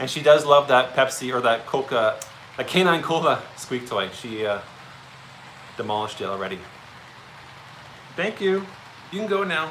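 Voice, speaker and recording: With noticeable background noise, a man speaks at a moderate pace in a fairly high pitch, making very wide pitch swings and long, frequent pauses. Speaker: model railroad hobbyist. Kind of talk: casual chat. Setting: train room at home, livestream.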